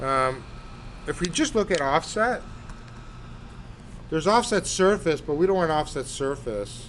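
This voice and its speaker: A man's fairly high, fairly slow voice with very wide pitch swings. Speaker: architecture instructor. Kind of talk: tutorial.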